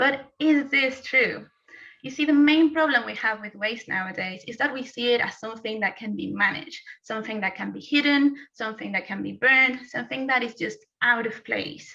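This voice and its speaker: Speaking in a Spanish accent, a woman talks at a fairly quick pace in a high pitch. Her loudness swings widely while her pitch varies in an ordinary way. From Mexico. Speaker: postgraduate student. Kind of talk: timed thesis presentation.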